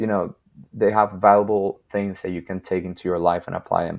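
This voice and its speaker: A man with a Spanish accent speaks at a moderate pace in monotone, flat intonation, with a dry, close sound and no echo. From Venezuela. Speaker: videographer and photographer. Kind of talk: podcast interview.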